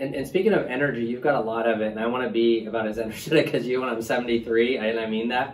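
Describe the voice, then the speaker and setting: Against noticeable background noise, a man talks at a very fast pace and a medium pitch. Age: 40s. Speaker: urologist. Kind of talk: patient interview. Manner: halting.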